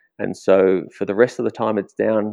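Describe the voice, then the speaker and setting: Speaking at a moderate pace, a man talks in an Australian accent. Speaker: wildlife conservationist. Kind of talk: interview.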